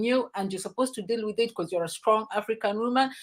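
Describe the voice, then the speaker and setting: A woman with a fairly high pitch speaks at a very fast pace, captured on a very clean recording with a silent background. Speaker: talk show host. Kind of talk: casual chat.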